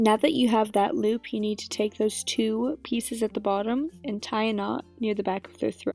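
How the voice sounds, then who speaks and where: Over music in the background, a woman with a fairly high pitch talks at a moderate pace with ordinary pitch variation. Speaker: model horse hobbyist. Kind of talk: craft tutorial narration.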